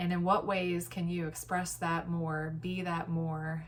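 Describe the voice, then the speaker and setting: A woman speaks at a fairly low pitch with fairly even intonation and a somewhat breathy quality. Room echo is audible. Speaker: vlogger. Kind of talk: casual monologue. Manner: halting.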